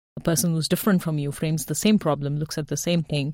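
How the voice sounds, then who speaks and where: Recorded very cleanly with a silent background and a dry, close sound with no echo, a woman talks at a very deep, low pitch with ordinary pitch variation. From developing country. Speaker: tech executive. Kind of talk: panel discussion. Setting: studio.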